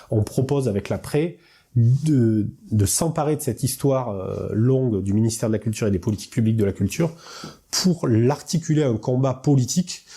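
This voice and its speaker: With a southern French accent, this man talks at a moderate pace in a medium pitch, his dark, mellow tone somewhat breathy, with ordinary pitch variation on a very clean recording against a silent background. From southern France, Hautes-Alpes. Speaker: actor and party activist. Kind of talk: political interview. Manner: hesitant, many fillers.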